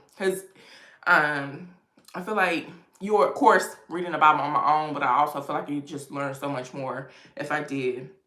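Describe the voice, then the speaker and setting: With an American accent, the voice keeps a moderate pace and ordinary pitch variation, showing big swings in loudness against audible room echo. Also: woman, very deep, low pitch for a woman. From US East Coast. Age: 30s. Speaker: lifestyle YouTuber. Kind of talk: livestream chat. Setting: home livestream with ring light. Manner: casual, conversational.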